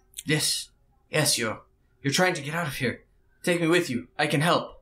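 A raspy, put-on character voice from a man, fairly high in pitch, at a moderate pace.

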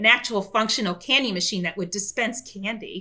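A woman talks very fast with an American accent. Her medium-pitched voice keeps a fairly even intonation. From Florida, US. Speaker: software company director. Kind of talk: interview and product demo. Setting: remote call. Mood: warm, animated. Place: home room.

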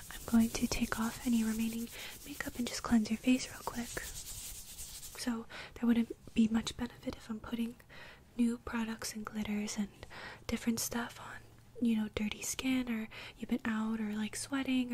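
A soft-spoken woman's gentle, monotone voice with flat intonation, a moderate pace, long frequent pauses and light background noise. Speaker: skincare roleplay host. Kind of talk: soft-spoken roleplay talk. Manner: soft-spoken, gentle close-mic ASMR voice. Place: home room. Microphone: studio mic.

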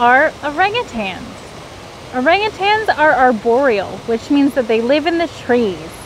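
A woman's fairly slow speech with very wide pitch swings over noticeable background noise. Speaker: zoo primate keeper. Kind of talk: educational explanation for kids. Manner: friendly, clear, informative.

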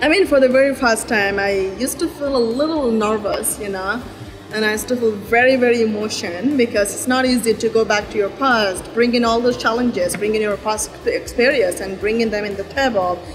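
A fairly quick delivery with ordinary pitch variation over noticeable background noise. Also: woman. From Rohingya community, Myanmar. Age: 20s. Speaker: refugee advocate. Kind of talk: interview answer. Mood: earnest, reflective.

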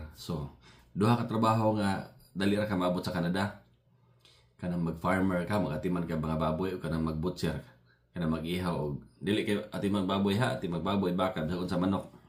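Moving at a fairly quick clip, a man's very deep, low voice keeps its intonation fairly even. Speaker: vlogger, factory maintenance worker. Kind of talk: casual vlog monologue. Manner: halting.

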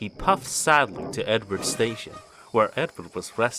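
The speaker reads. It is a natural reading voice.

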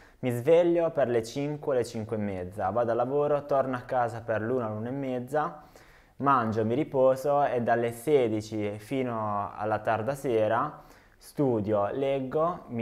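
The setting is quiet. A man talks fairly slowly, with ordinary pitch variation. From Apulia, southern Italy (Trani, province of Bari); Apulia, Italy. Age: 20s. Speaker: YouTuber and farmer; YouTuber. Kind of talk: video self-introduction. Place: home room.

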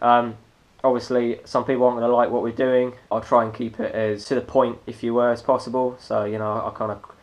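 In a monotone with flat intonation, a man speaks at a fairly quick pace. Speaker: vlogger. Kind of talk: casual vlog chat. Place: home room. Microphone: phone near.

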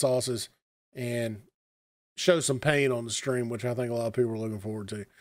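A man speaks against a quiet background. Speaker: streamer. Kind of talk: casual stream chat to viewers. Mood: friendly, upbeat appeal.

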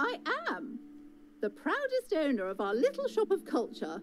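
A female-sounding voice does a put-on character voice at a high pitch, with clear background noise behind it. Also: moderate pace. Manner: projecting, penetrating.

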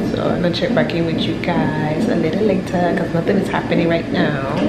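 Loud noise fills the background as a woman speaks. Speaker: expectant mother vlogger. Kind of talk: casual vlog chat. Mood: calm, chatty.

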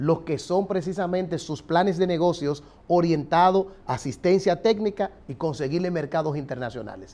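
A man with a high voice and a dark, mellow tone speaks at a moderate pace with ordinary pitch variation and hardly any pauses. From Dominican Republic. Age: 40s. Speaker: political candidate; candidate. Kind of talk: political interview. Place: studio. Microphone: lapel.

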